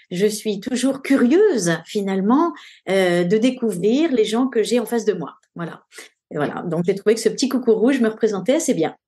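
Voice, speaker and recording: A woman's fairly high voice with a dark, mellow tone, at a moderate pace over a quiet background. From France (Paris). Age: 60s. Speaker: nutrition doctor. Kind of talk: interview testimony. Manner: hesitant, many fillers.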